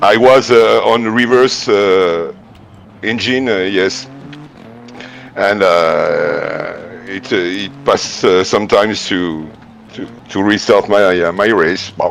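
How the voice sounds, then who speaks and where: With a French accent and a fairly low pitch, a man speaks at a very slow pace with ordinary pitch variation and long, frequent pauses over noticeable background noise. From France. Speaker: sim racing driver. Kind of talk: casual interview. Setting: live stream voice call. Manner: halting, many fillers.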